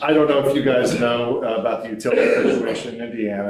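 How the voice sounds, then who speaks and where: A man talks with audible room echo and noticeable noise in the background. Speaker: energy services sales representative. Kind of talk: business presentation at a public meeting. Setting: county council meeting room.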